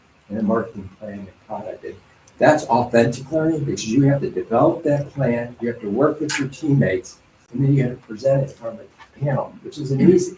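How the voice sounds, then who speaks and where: A man with a medium pitch talks fairly quickly while noticeable background noise carries on. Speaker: school district official. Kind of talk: public presentation at council meeting. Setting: council meeting. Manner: fast.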